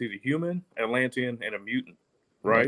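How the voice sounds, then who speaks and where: The sound is dry and close, with no echo. A man with an American accent talks at a medium pitch with ordinary pitch variation. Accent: country twang. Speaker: podcast guest. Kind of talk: casual chat.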